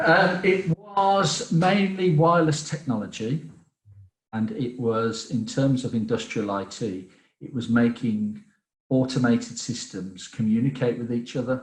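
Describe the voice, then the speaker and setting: Somewhat breathy, a man in a Birmingham accent speaks at a fairly slow pace with very wide pitch swings. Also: medium pitch for a man. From Birmingham, English Midlands. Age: 40s. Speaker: business development director. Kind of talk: podcast interview.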